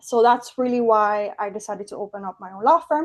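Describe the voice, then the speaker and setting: Someone talks at a very fast pace against a quiet background. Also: woman. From Cuba. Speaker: estate planning attorney. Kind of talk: webinar presentation. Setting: online webinar.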